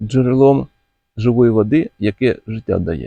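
Using lively intonation, a man with a medium pitch and a dark, mellow tone speaks with vocal fry in a dry, close sound with no echo.

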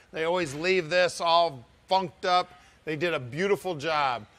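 This clip features a man. He talks at a fairly slow pace. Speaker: classic car dealer host. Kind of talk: product walkaround commentary. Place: garage. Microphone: lapel.

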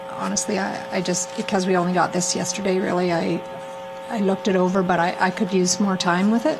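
A woman talks at a fairly quick pace with vocal fry. Background noise is clear. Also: fairly low pitch for a woman, fairly even intonation.

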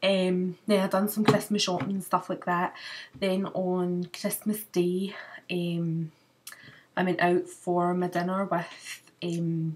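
A woman speaks with a Scottish accent. Her intonation is monotone and flat. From Glasgow, Scotland. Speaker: beauty vlogger. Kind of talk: casual talk to camera. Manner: chatty, fast. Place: home room. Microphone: webcam.

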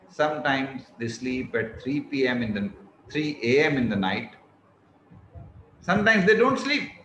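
Speech at a very slow pace with very wide pitch swings and long, frequent pauses, heard with audible room echo over light background noise. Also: man, fairly high pitch for a man. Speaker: motivational speaker giving a talk. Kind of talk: lecture, advisory. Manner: slow, relaxed, comfortable pace; calm, measured. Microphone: earbuds.

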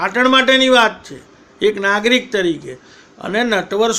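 Raised and projected, a man's high-pitched voice has a bright, sharp tone and ordinary pitch variation. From Patan, north Gujarat, India. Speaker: political commentator. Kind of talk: political monologue. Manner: combative.

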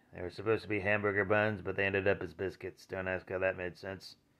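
A man's fairly low voice at a moderate pace against a quiet background. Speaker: vlogger. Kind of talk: casual vlog chat. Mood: wry, mildly grumbling. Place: home room. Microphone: phone near.

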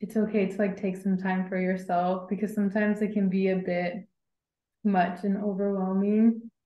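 A woman with an American accent at medium pitch and a moderate pace, with audible room echo. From US Midwest, Indiana. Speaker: graduate student; panelist. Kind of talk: webinar panel discussion. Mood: warm, friendly, smiling. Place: home room. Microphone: video call.

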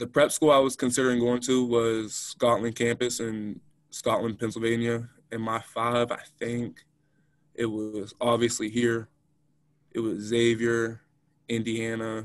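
The recording is dry, with no echo and a quiet background. A man speaks in a monotone with flat intonation. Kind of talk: interview answer. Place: meeting room. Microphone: video call.

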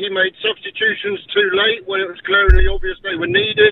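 Noticeable background noise runs under this man's speech. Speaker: caller. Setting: phone call.

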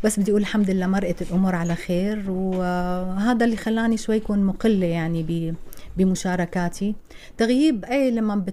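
A woman speaks with a Syrian accent at a moderate pace. Her tone is dark and mellow, and her intonation fairly even. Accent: Syrian Levantine Arabic. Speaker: actress. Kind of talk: interview. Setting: radio studio. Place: studio. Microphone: studio mic.

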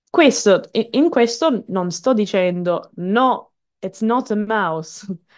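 A woman with an English accent speaks at a very slow pace with lively intonation against a quiet background. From Canada. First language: English (speaking Italian). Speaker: English teacher and singer; English teacher. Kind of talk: webinar presentation. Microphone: headset.

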